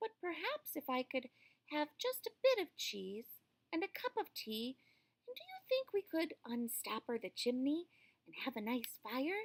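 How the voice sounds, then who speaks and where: A put-on character voice pitched high. The pitch swings very widely. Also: moderate pace. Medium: read story. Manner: polite, genteel.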